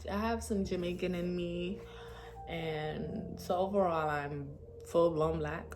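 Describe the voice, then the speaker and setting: A woman is speaking with music in the background. Audible room echo colors the recording. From New York (Brooklyn). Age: 20s. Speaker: vlogger. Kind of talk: casual vlog monologue. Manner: halting, many fillers.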